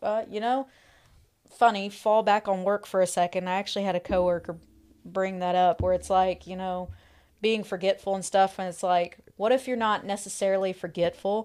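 On a very clean recording with a silent background, a woman at medium pitch speaks at a moderate pace with fairly even intonation. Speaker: guest co-host. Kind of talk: casual chat. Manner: hesitant, many pauses.

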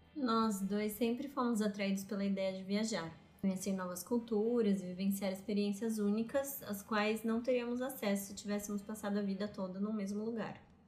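A woman speaks at a medium pitch with fairly even intonation and hardly any pauses, with noticeable background noise and audible room echo. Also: moderate pace. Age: 30s. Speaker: podcast co-host. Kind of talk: casual chat.

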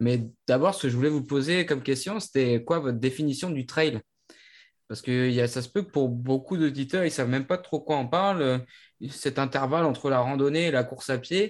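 Against a quiet background, a man with a plain, everyday voice speaks at a moderate pace. His pitch is fairly high, with ordinary pitch variation. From Brittany, France. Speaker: podcast co-host. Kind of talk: casual chat.

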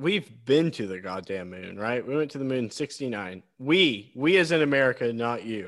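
In a very clean recording with a silent background, a man with a plain, everyday voice talks at a moderate pace and medium pitch, with lively intonation and hardly any pauses. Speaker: podcast co-host. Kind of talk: mock radio DJ patter, a bright drive-time show spiel. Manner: sing-song, upbeat and over-the-top announcer voice, playful.

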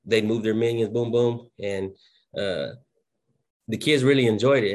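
A man with a Southern US accent speaks at a medium pitch and a fairly quick pace, with fairly even intonation against a quiet background. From southwest Oklahoma. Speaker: school principal. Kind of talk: casual interview.

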